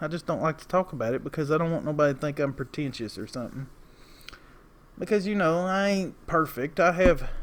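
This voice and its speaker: A man with a strong Appalachian accent, fairly high pitch and ordinary pitch variation. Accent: heavy Southern Appalachian, drawn-out vowels. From Appalachia, East Tennessee. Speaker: lawn care business owner and video creator. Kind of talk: casual vlog monologue. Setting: outdoors outside a store. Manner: rambling, talkative.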